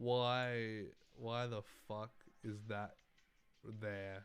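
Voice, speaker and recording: A man with a fairly low pitch speaks while music plays in the background. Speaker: livestreamer. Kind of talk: casual livestream chat. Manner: animated.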